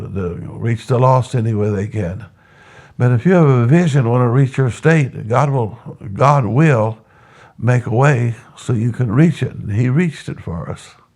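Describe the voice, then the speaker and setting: A man with an American accent, somewhat breathy, at a moderate pace with ordinary pitch variation. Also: medium pitch for a man. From Texas. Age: 80s+. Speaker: church planter and pastor. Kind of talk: interview testimony. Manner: halting, repetitive.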